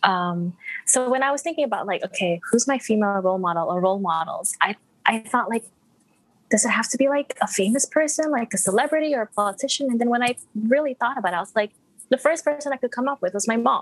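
A woman with an American accent talks very fast at a high pitch, her intonation lively. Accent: international, American-sounding English. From Malaysia. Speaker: product manager. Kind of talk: casual chat.

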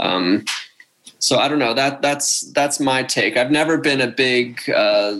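In an American accent, a man with an unremarkable speaking voice and ordinary pitch variation speaks at a fairly slow pace. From Pennsylvania, Philadelphia suburbs. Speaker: professional squash player. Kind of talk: interview.

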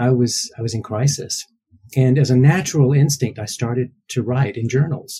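Somewhat breathy delivery with a dark, mellow tone and fairly even intonation. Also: man. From US South, Georgia. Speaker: novelist and library advisor. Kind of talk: interview.

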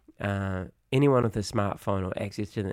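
A fairly low-pitched man with a New Zealand accent on a very clean recording with a silent background. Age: 30s. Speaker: kickboxing coach and educator. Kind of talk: casual interview.

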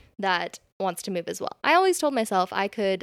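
A woman with an American accent speaks at a fairly quick pace in an unremarkable speaking voice of medium pitch. The recording is very clean with a silent background, and the sound is dry and close with no echo. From California. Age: 20s. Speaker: bridal brand founder. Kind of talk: casual interview.

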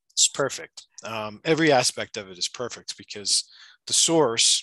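Bright, sharp tone at a fairly slow pace over a quiet background. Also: man, dry, close sound with no echo. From United States. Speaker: shamanic practitioner. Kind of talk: interview.

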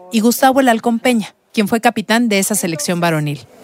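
A woman's fairly high voice at a fairly quick pace, an unremarkable speaking voice with lively intonation. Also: dry, close sound with no echo. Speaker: journalist and podcast host. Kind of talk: scripted narration.

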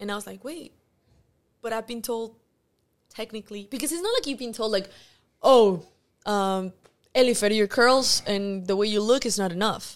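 On a very clean recording with a silent background, a woman with a Mexican accent speaks at a fairly high pitch. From Mexico. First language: Spanish. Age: 20s. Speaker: actress. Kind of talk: casual chat.

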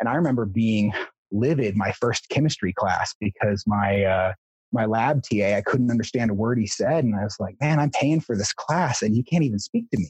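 A man speaks at a moderate pace in a medium pitch, somewhat breathy, with ordinary pitch variation, very even loudness, and a dry, close sound with no echo. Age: 30s. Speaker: guest sharing personal story. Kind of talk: interview conversation.

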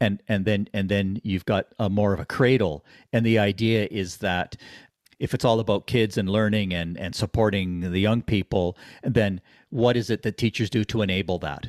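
A man with a Canadian accent has a plain, everyday voice, fairly low in pitch, at a moderate pace with ordinary pitch variation. The recording is very clean with a silent background and a dry, close sound with no echo. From Ottawa, Canada. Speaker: podcast co-host, educator. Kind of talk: casual chat.

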